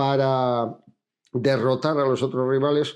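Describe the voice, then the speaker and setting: This man's voice sits at a fairly high pitch and has a dark, mellow tone. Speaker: cycling commentator. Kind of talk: video commentary. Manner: fast.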